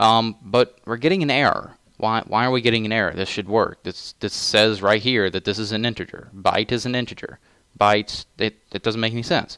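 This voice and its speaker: On a very clean recording with a silent background, a man speaks at medium pitch and a fairly quick pace, his bright, sharp tone dry and close with no echo and his intonation fairly even. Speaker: programming tutorial maker. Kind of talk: tutorial. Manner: halting, many fillers and restarts; casual.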